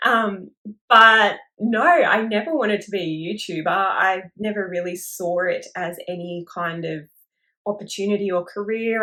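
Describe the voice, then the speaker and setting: With an Australian accent, a woman speaks at a medium pitch in a bright, sharp tone with ordinary pitch variation. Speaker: crochet YouTuber. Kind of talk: casual talk to camera.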